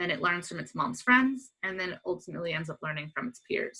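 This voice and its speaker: A woman with an American accent speaks with lively intonation. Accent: American, similar to US listeners. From US, Pennsylvania (Pottstown). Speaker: dolphin researcher. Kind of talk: lecture; casual talk about own life path. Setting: webinar video call.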